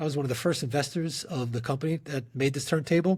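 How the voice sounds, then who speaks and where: In a New York accent, a man speaks with a fairly high pitch and a somewhat breathy quality. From New York, the Bronx. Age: 40s. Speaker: company CEO. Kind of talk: podcast interview.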